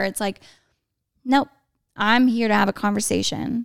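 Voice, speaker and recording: An ordinary speaking voice: a woman at medium pitch and moderate pace. The sound is dry and close with no echo, on a very clean recording with a silent background. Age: 20s. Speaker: realtor, former teacher. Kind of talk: casual chat.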